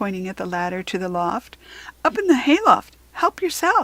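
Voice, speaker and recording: Put on as a character, this female-sounding voice sits fairly high for a woman and moves at a moderate pace. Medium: read story.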